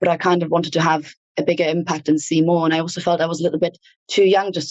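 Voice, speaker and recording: A woman with a German accent speaks at a very fast pace. Her fairly low voice has a monotone, flat intonation. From Germany. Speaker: workplace wellbeing lead. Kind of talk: podcast interview.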